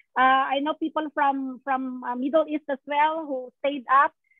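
A woman's voice, dry with no echo, over a quiet background. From Philippines. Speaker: nurse and event host; event host. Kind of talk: online event hosting. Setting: video call. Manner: animated. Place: home room. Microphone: video call.

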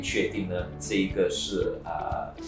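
The speech moves at a very slow pace, with clear music in the background and audible room echo. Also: man. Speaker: guest. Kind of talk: interview answer. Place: office.

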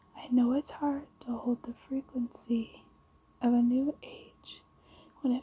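This soft-spoken voice has a gentle, relaxed tone and moves at a fairly slow pace. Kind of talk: reading aloud from a tarot guidebook. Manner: soft-spoken, gentle, relaxed.

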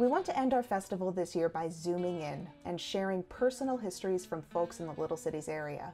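A woman talks at a fairly quick pace with hardly any pauses, music playing behind her. Her voice is fairly low-pitched and her intonation lively. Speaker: festival host from the local council. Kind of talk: scripted introduction.

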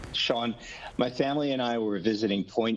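A man speaks with ordinary pitch variation. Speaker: doctor and sunscreen brand founder; guest. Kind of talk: product demonstration. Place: home room. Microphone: video call.

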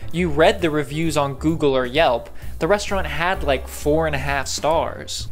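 Faint music sounds in the background. The talking keeps a moderate pace. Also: man. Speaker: video creator. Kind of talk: casual commentary to camera. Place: kitchen. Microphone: handheld.

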